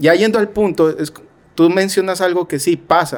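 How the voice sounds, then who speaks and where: A man at a fairly quick pace, with an unremarkable speaking voice and ordinary pitch variation. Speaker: podcast host. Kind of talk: interview.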